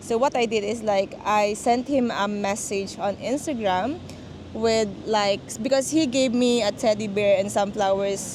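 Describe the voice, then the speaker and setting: Talking at a fairly slow pace in a Filipino accent, a woman with a fairly high pitch uses ordinary pitch variation over noticeable background noise. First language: Tagalog. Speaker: vlogger. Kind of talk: casual chat. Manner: code-switching Taglish.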